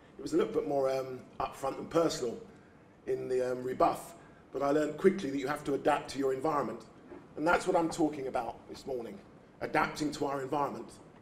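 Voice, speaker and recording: A man's fairly high voice at a very fast pace, with ordinary pitch variation and noticeable background noise. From England, East End of London. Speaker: youth charity founder, speaker. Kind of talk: keynote speech. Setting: breakfast event before an audience. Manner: formal.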